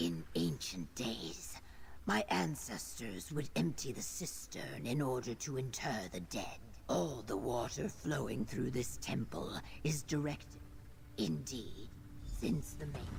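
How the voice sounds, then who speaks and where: A put-on character voice at a low pitch speaks at a fairly slow pace over clear background noise. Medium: video game. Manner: stern, clipped, formal.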